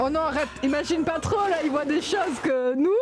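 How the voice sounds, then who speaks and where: A loud, high-pitched woman's voice at a moderate pace, with ordinary pitch variation, audible room echo and noticeable background noise. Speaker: streamer reacting to a documentary. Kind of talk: casual chat. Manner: animated. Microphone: mic placed close.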